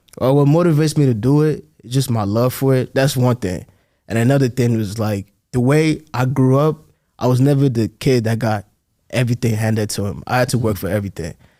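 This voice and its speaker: A man with an American accent has a normal speaking voice at medium pitch with ordinary pitch variation. He talks at a fairly quick pace in a very clean recording with a silent background. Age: 20s. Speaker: sports entrepreneur and student. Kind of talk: podcast interview.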